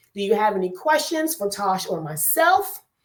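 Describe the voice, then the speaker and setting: At a moderate pace, a woman with a New Jersey accent sounds animated, her pitch swinging very widely. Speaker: online talk show host. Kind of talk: casual chat. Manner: loud.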